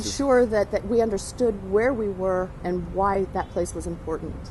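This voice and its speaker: Using a normal speaking voice, a woman talks at a moderate pace with a medium pitch and ordinary pitch variation. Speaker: actor. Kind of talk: travel host demo.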